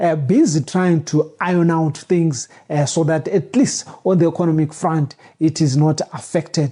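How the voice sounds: The voice has a dark, mellow tone with a slightly husky edge, moving at a moderate pace with ordinary pitch variation.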